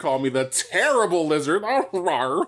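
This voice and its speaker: At a moderate speed and a middle pitch, the speaker performs in a put-on character voice. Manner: menacing, theatrical.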